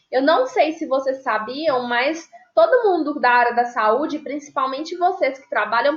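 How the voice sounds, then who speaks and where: Pitched high, a woman's voice shows ordinary pitch variation. She keeps a moderate pace. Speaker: nursing teacher. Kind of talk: lecture.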